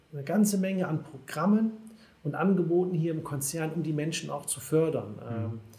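A man speaks with a fairly high pitch. Room echo is audible. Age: 30s. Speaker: HR department head. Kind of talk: casual interview.

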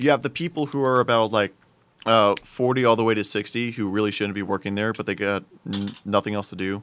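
A man with a plain, everyday voice, a fairly low pitch, ordinary pitch variation and a fairly quick pace. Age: young. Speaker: college student podcast co-host. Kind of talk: casual chat.

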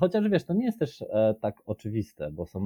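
Dark and mellow in tone, this man's voice comes across dry and close, with no echo. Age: 30s. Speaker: podcast guest. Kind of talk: casual chat. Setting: video call.

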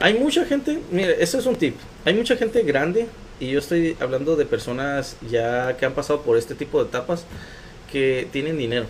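A man's fairly high pitch with very wide swings, a moderate pace, and a Mexican accent. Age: 20s. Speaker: recycling entrepreneur. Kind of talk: interview.

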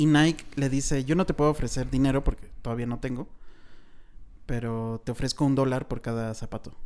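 A man speaks at a fairly quick pace with a Mexican accent, his medium pitch holding fairly even intonation. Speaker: film podcast host. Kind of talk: casual chat.

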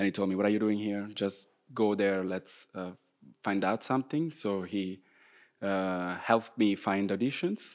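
Fairly low in pitch, a man speaks with an Italian accent at a moderate pace. His intonation is fairly even, and the recording is very clean with a silent background. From Italy, Rome. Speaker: professional dancer. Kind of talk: casual interview. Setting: dance studio canteen, windows open, traffic noise.

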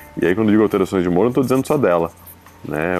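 A man speaks with music playing in the background. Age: 30s. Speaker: expectant father. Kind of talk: casual chat.

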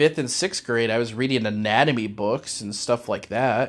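A man speaks at a fairly quick pace. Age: 40s. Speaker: faith podcast host. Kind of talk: personal solo monologue. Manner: halting.

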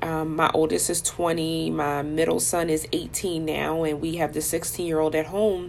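A woman's very deep, low voice, flat and monotone, at a fairly slow pace over noticeable background noise. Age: 40s. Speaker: life coach podcast host. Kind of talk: personal monologue.

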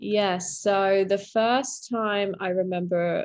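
A woman of medium pitch speaks at a very slow pace. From UK. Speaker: recovering alcoholic sharing her story. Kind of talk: interview, personal testimony.

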